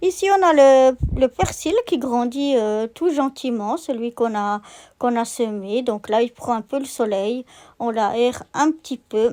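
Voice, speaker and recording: A woman's high-pitched voice, dark and mellow in tone, at a very slow pace with ordinary pitch variation, on a very clean recording with a silent background. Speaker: gardening vlogger. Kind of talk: casual walkthrough vlog. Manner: hesitant, many filler pauses.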